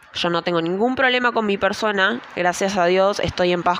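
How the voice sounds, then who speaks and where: A woman speaks in a Rioplatense accent at a moderate pace. Her pitch varies in an ordinary way. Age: 20s. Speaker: podcaster. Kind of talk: personal monologue. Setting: at home at night.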